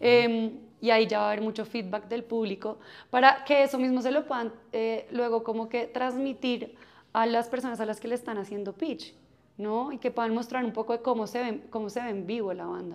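A woman speaks at a moderate pace in a fairly high voice with fairly even intonation over a quiet background. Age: 30s. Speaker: music festival marketing executive. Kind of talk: interview. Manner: halting.

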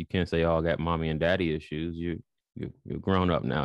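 This man has a Chicago accent and a very deep, low pitch. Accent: Chicago American. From Chicago, US Midwest. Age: 20s. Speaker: spiritual podcast host and writer. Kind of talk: casual interview. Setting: video call.

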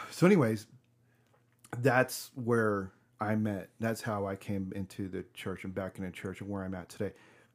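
A man's fairly low voice at a moderate pace, fairly even in intonation, an ordinary speaking voice. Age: 30s. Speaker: podcast host. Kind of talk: casual interview.

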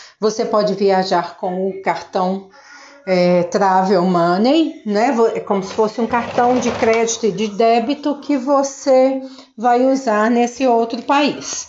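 Amid noticeable background noise, a woman speaks very slowly with a fairly high pitch and ordinary pitch variation. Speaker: English teacher. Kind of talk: casual monologue talk to students.

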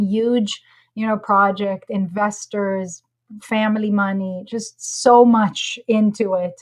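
A woman talks at a very slow pace in a medium pitch. Her voice is somewhat breathy, and her intonation is monotone and flat. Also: very clean recording, silent background. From Israel. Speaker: entrepreneur. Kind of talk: interview.

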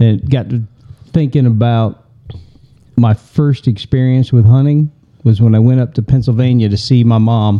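In a Southern US accent, a man with a dark, mellow tone speaks at a medium pitch and a fairly slow pace, his intonation fairly even. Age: 50s. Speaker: podcast co-host. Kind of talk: casual chat.

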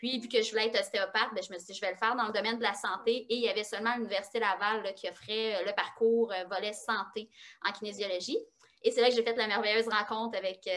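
Fairly quick and fairly high-pitched, a woman speaks with fairly even intonation. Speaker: osteopath and kinesiologist. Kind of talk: interview.

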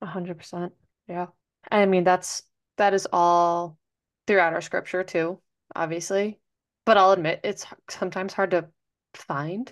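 Speaking at a moderate pace with long, frequent pauses, a woman keeps a medium pitch and a monotone, flat intonation. The background is quiet. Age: 20s. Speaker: podcast co-host. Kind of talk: casual chat.

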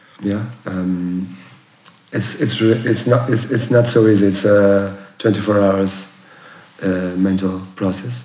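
Very slowly, a man with a Portuguese accent speaks at a fairly low pitch with ordinary pitch variation. Audible room echo and noticeable background noise fill the recording. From Portugal, near Porto. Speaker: chef. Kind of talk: interview. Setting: former bank safe room. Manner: halting, many fillers and repeats.

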